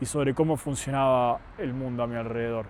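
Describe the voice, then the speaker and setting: A man speaks with an Argentine accent. His pace is fairly slow. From Argentina. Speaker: youtuber sharing personal story. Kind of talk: personal monologue to camera.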